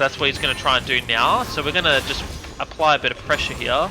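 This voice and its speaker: Music can be heard behind the speaker. He is a man delivering his words very fast. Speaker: gaming streamer. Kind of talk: gameplay commentary.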